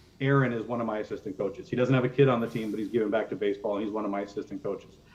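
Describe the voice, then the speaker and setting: This is a man speaking. His voice shows ordinary pitch variation. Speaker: youth baseball coach and organization representative. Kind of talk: presentation to council. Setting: council meeting. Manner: fast.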